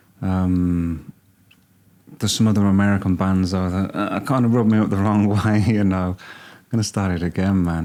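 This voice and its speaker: With a Birmingham accent, a man speaks at a moderate pace and a fairly low pitch. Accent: Birmingham (Brummie). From Birmingham, England. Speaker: music reaction youtuber. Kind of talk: casual reaction commentary. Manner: hesitant, many fillers.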